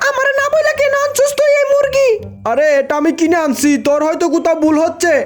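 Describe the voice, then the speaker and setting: Using a put-on character voice, a woman speaks at an extremely high pitch and a moderate pace. Faint music plays in the background. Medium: fan dub. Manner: scolding, colloquial dialect.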